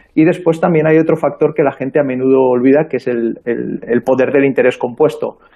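An unremarkable speaking voice from a man, fairly high in pitch, fairly even in intonation, at a fairly quick pace. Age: 40s. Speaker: early-retired investor and author. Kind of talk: radio interview. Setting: remote call from abroad.

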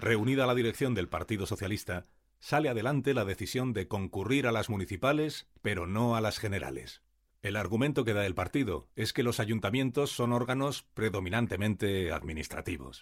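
A man speaks in a plain, everyday voice, fairly low in pitch, with lively intonation at a moderate pace. The recording is very clean, with a silent background. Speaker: narrator. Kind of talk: scripted narration of 1931 newspaper reports. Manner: measured, formal, even-paced newsreel delivery.

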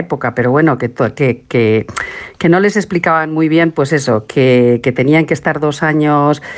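A woman speaking at a moderate pace. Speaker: documentary maker and researcher. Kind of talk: interview.

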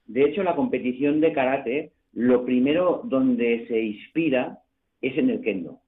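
This is a normal speaking voice at a fairly slow pace with ordinary pitch variation. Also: man, medium pitch for a man. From Barcelona. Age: 60s. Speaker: karate coach. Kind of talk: radio interview.

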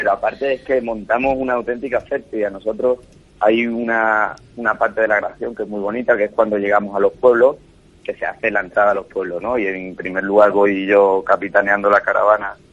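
The speaker has an Andalusian accent. The intonation is fairly even. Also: man. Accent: Andalusian (Cádiz). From Cádiz, Andalusia, Spain. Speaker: chef. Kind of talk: radio interview. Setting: phone call from his home kitchen.

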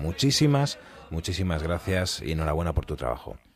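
Over noticeable background noise, the speaker talks at a fairly quick pace with very wide pitch swings. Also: man. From Spain, El Bierzo. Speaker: radio host. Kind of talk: interview.

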